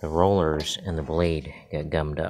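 A man's very deep, low voice at a moderate pace, flat and monotone throughout. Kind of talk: tutorial. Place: garage. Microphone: phone near.

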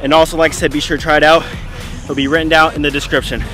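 Over clear background music, a man talks at a very fast pace, the sound dry with no echo. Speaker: fitness vlogger. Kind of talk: casual workout tutorial chat. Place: stadium.

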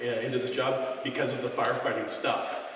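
The recording has strong room echo and light background noise. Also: man. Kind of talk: town hall address. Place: hall. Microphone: camera far.

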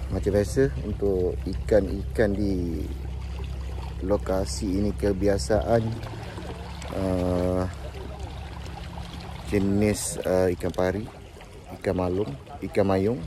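A man with a very deep, low voice speaks at a very slow pace, leaving long, frequent pauses. His pitch varies in an ordinary way, and the dry sound has no echo but noticeable background noise. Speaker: fishing vlogger. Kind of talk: casual vlog chat. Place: beach. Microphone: phone near.

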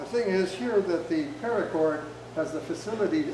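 There is noticeable background noise and audible room echo as a man speaks at a moderate pace with ordinary pitch variation. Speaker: workshop instructor. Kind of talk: tutorial demonstration. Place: hall. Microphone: camera far.

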